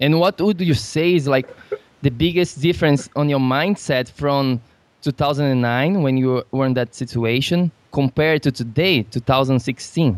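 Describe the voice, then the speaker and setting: A man with a Portuguese accent speaks fairly slowly at a fairly high pitch, his loudness very even in a dry, close sound with no echo. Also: ordinary pitch variation. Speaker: podcast host, nutrition coach. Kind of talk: interview.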